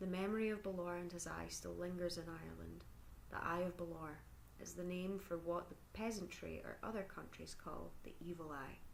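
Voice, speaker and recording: A soft-spoken woman talks in a calm tone with a Scottish accent. Her pace is moderate. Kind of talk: ASMR story reading. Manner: calm, soft.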